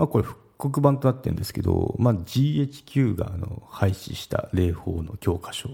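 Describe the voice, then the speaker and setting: A man speaks with lively intonation and hardly any pauses. His tone is dark and mellow, and somewhat breathy. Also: medium pitch for a man, moderate pace. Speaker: podcaster. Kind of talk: solo casual talk. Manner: halting, stumbles over words.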